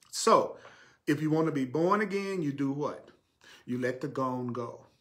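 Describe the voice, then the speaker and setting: Audible room echo surrounds a man speaking at a fairly slow pace with an American accent. His pitch is fairly high with ordinary variation. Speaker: spiritual teacher. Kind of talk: sermon. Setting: live stream.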